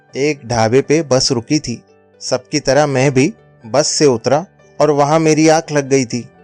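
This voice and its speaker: Music plays in the background as a man with a fairly high pitch speaks, the sound dry and close with no echo. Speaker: storyteller, voiceover artist. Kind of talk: moral story narration for an animated video.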